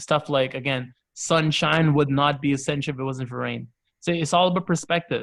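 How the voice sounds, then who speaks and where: Using an unremarkable speaking voice, a man talks at a moderate pace with a fairly high pitch and fairly even intonation. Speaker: cricketer. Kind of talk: casual chat.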